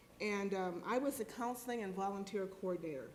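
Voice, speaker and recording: A woman with an American accent talks at a fairly quick pace, her medium pitch showing ordinary variation. Noticeable background noise and audible room echo fill the recording. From US Midwest. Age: 60s. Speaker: former clinic counselor, panelist. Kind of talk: panel talk.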